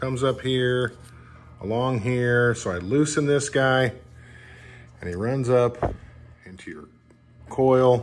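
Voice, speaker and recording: A man talks at a fairly slow pace while light background noise runs underneath. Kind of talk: tutorial. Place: garage.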